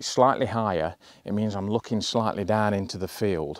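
A man with an unremarkable speaking voice and fairly low pitch speaks at a moderate pace with fairly even intonation, in a dry recording with no echo and a quiet background. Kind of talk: casual vlog chat. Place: open country. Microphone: lapel.

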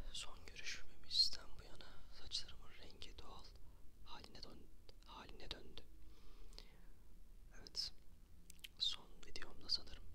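A man whispers, moving at a fairly slow pace and stopping for long, frequent pauses. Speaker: ASMR content creator. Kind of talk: ASMR whisper video addressed to viewers. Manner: friendly, casual talk to camera. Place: home room. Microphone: studio mic.

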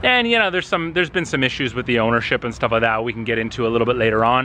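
A man speaks in a bright, sharp tone. The sound is dry with no echo, over light background noise. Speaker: car vlogger. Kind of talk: casual vlog chat. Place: street. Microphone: phone near.

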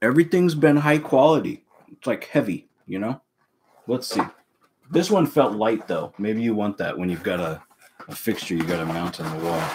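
A man at a moderate pace, with very wide pitch swings and noticeable background noise. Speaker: home podcaster. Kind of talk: casual vlog chat. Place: home room. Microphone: webcam.

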